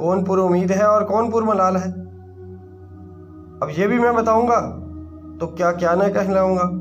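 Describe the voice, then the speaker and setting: Over music in the background, a man with a high pitch holds a very even loudness and fairly even intonation. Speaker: voice-over artist. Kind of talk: poetry reading.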